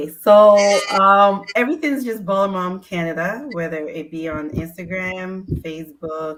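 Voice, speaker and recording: In a Ghanaian accent, a woman speaks with a fairly low pitch. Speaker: sports mom community founder. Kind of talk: casual chat.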